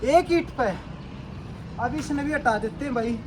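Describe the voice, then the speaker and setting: A man speaks with a Haryanvi accent and lively intonation. Noticeable background noise can be heard. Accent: Haryanvi-accented Hindi. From Haryana, India. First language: Haryanvi (speaking Hindi). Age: 30s. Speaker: fitness vlogger. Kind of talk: tutorial. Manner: casual, repetitive.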